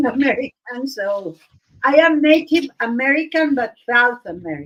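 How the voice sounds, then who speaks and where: The speaker moves at a fairly slow pace. The intonation is lively. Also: woman. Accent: Argentine. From Argentina. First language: Spanish. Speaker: art livestream host. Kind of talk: casual chat. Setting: live stream. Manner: halting, searching for words.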